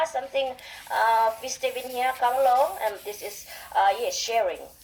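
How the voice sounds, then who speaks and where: A woman with a Visayan Filipino accent, at a moderate pace. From Philippines, Visayas. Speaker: radio interview guest. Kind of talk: radio interview. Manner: halting.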